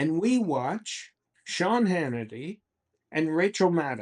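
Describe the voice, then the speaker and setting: A man's voice swings very widely in pitch. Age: 80s+. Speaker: economist and investment officer. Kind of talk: interview. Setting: studio.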